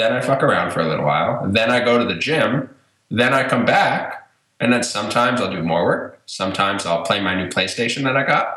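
Using a plain, everyday voice, a man of medium pitch talks at a fairly quick pace with lively intonation. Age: 20s. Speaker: former podcast host and blogger. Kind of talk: casual chat. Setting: remote call from home. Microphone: echoey room sound.

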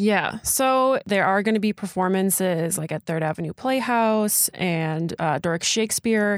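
On a very clean recording with a silent background and a dry, close sound with no echo, a woman uses an ordinary speaking voice at medium pitch, with ordinary pitch variation and a fairly slow pace. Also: hardly any pauses. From Door County, Wisconsin. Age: 20s. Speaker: local news podcast co-host. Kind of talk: casual event roundup chat.

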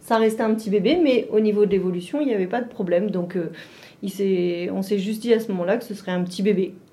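A woman's medium-pitched voice at a very fast pace with ordinary pitch variation, amid noticeable background noise and audible room echo. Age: 40s. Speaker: mother of a child with Down syndrome. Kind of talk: interview testimony. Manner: halting.

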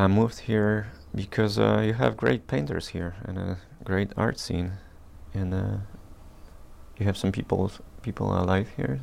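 With long, frequent pauses breaking it up, the talking goes at a moderate pace and its pitch varies in an ordinary way. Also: man, very deep, low pitch for a man. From rural Poland, later Detroit. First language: Polish. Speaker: painter. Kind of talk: casual interview. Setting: artist's studio.

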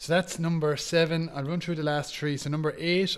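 This man has an Irish accent. Behind him the background is silent, and the recording is very clean. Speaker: Gaelic games pundit. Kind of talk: casual chat. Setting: at home.

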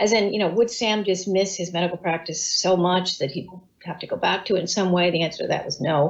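A woman is talking. There is a somewhat breathy quality to how she sounds. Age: 60s. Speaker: communications professional and author. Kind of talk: casual interview. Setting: video call.

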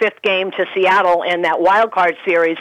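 A woman with an unremarkable speaking voice talks at medium pitch and a moderate pace, her intonation fairly even. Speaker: baseball radio broadcaster. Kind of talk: casual sports talk chat. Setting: phone call.

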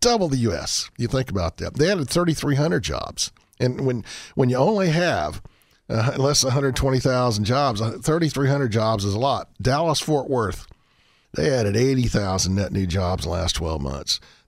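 Speaking with a Texan accent, a man uses a medium pitch with very wide pitch swings at a moderate pace. The recording is very clean, with a silent background. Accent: Texan American. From Colorado, US. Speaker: economist. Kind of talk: radio interview.

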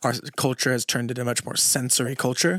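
On a very clean recording with a silent background and a dry, close sound with no echo, a man talks at a fairly quick pace with a medium pitch and an unremarkable speaking voice. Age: 20s. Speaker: podcast co-host. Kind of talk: casual chat.

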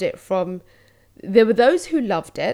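Speaking with a London accent, a woman with a fairly high pitch talks at a moderate pace with lively intonation, in a very clean recording with a silent background. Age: 40s. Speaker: podcaster and creative coach. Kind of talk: solo podcast monologue.

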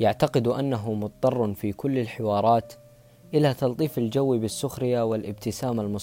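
Heard here is an unforced reading voice.

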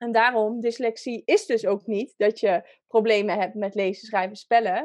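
A woman's fairly high voice, a normal speaking voice, with ordinary pitch variation at a moderate pace over a quiet background. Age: 30s. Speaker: dyslexia coach. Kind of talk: interview. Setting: video call.

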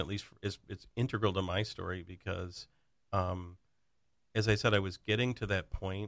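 A man with an ordinary speaking voice and an American accent talks at a fairly quick pace in a fairly low pitch, with fairly even intonation and big swings in loudness, in a very clean recording with a silent background. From western Michigan. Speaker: insurance agent. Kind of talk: casual chat.

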